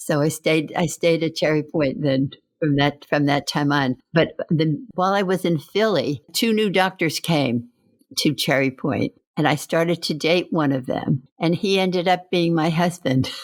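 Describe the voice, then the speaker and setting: On a very clean recording with a silent background, a woman with an American accent speaks at a moderate pace in a very deep, low pitch, with ordinary pitch variation and very even loudness. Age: 80s+. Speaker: World War II Navy nurse veteran. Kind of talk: interview answer.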